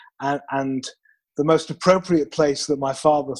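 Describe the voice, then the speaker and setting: A man with a British accent speaks at a moderate pace and a fairly high pitch. The recording is very clean, with a silent background. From United Kingdom. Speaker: sales trainer. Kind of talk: interview. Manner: halting, many repeated words.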